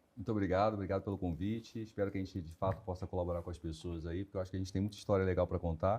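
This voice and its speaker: A man with a very deep, low pitch and a dark, mellow, somewhat breathy tone talks at a very fast pace with hardly any pauses. His intonation is fairly even, and the background is quiet. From Rio de Janeiro, Brazil. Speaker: HR director. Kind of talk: interview conversation.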